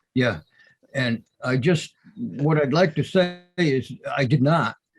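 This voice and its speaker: A man's fairly high voice sounds somewhat breathy. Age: 70s. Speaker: property owner. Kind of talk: heated debate. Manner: animated.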